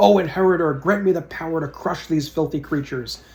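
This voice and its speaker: Shouting and growling in a put-on character voice, a man goes at a fairly quick pace with a fairly high pitch. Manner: yelling.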